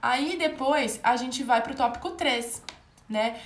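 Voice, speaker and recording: Audible room echo surrounds a woman speaking at a high pitch with ordinary pitch variation. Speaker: medical exam tutor. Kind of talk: live online lecture. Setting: livestream.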